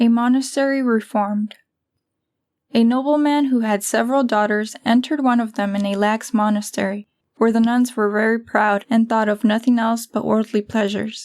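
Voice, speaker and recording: A woman with a plain, everyday voice talks at a moderate pace, her fairly high pitch following fairly even intonation. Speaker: audiobook narrator. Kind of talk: religious audiobook narration.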